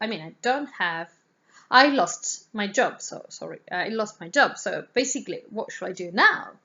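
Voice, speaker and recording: A woman speaks with an Italian accent at a moderate pace. Her loudness swings widely. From Italy. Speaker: art teacher. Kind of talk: casual vlog introduction. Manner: halting, many fillers.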